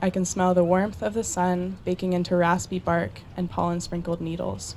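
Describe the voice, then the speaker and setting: Moderate pace, with an American accent, in a plain, everyday voice. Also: woman. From Colorado, USA. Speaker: college student. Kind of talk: personal essay reading.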